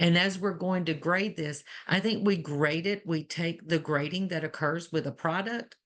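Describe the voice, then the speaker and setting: Speaking in an Alabama accent, a woman uses a fairly low pitch with ordinary pitch variation, moving at a moderate pace with hardly any pauses. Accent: Alabama Southern. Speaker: nursing educator. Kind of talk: webinar panel discussion.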